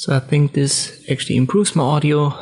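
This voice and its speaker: A man at a moderate pace. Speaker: video tutorial creator. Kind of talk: tutorial.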